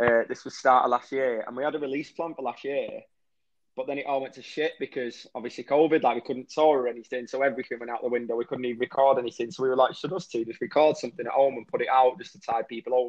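Talking at a very fast pace in a northwest English accent, this man has a medium pitch. His intonation is fairly even, but his loudness swings widely. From northwest England, Warrington. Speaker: rock musician. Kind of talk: interview.

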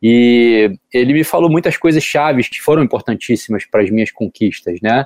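Recorded dry and close with no echo, a man speaks at a moderate pace with hardly any pauses, a medium pitch and lively intonation. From Brazil, Rio de Janeiro. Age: 30s. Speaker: professional surfer. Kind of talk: interview.

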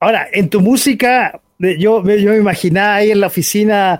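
A man talks at a moderate pace in a high pitch, with ordinary pitch variation. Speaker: internet radio host. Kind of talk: casual talk show interview. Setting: radio studio with webcam stream.

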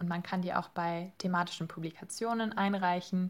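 A woman talks at a medium pitch with fairly even intonation. It is an ordinary speaking voice. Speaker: master's student, podcast team member. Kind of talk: interview.

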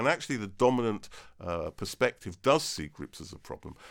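The recording is very clean with a silent background. On it, a man talks. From England (Devon). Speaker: professor. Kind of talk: interview. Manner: halting.

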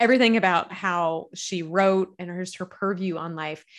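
Against a quiet background, a woman with a Southern US accent talks at a moderate pace and medium pitch. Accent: Southern US, noticeable. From Kentucky, US South. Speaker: author and speaker. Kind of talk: casual interview.

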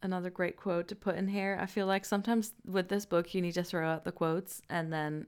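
On a very clean recording with a silent background, a woman speaks at a fairly quick pace in a flat, monotone delivery. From Netherlands. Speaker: podcast host and book creator. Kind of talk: podcast book discussion.

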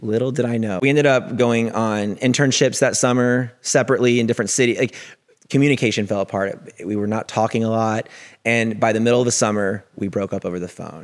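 Intonation stays fairly even. The man's pace is very fast. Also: medium pitch for a man. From US South, Mississippi. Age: 30s. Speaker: podcast host and corporate writer. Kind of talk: casual interview chat.

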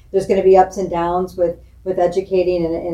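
A woman with a fairly low voice talks while noticeable background noise carries on. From Springfield, Illinois, US Midwest. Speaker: school superintendent. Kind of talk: interview.

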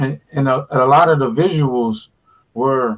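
At a moderate pace, a man with an American accent speaks in a normal speaking voice, his pitch fairly high with ordinary variation. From US West Coast, Pasadena, California. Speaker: podcast co-host. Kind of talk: casual chat. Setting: video call.

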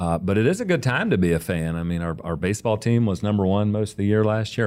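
With an American accent, this is an ordinary speaking voice at a fairly quick pace with ordinary pitch variation, captured on a very clean recording with a silent background. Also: man. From US South, mixed (Oklahoma, Texas, Arkansas, Tennessee). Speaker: school district curriculum director. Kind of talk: interview.

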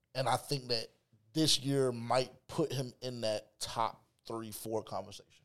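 A man at a medium pitch, speaking fairly slowly with fairly even intonation in an ordinary speaking voice. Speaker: podcast host. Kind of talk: casual sports talk. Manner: casual, profane.

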